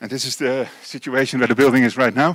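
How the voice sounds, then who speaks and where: A man talks with a Dutch accent. The sound is dry and close, without echo. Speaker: construction company engineer / presenter. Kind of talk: lecture. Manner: halting, many fillers.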